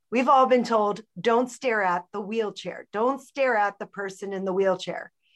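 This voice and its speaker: A woman's fairly high voice, an unremarkable speaking voice, at a fairly slow pace with hardly any pauses and ordinary pitch variation, dry and close with no echo against a quiet background. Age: 40s. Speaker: CEO and social entrepreneur. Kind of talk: interview.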